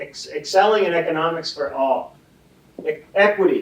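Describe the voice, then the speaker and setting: Noticeable background noise runs through the clip. A man talks at a fairly slow pace. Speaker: ocean scientist panelist. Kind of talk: panel presentation. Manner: loud.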